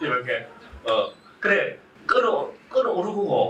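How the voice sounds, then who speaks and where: A man's voice over noticeable background noise. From Gyeongsang, South Korea. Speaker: Buddhist monk giving a public lecture. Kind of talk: public lecture with audience interaction. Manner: animated, conversational.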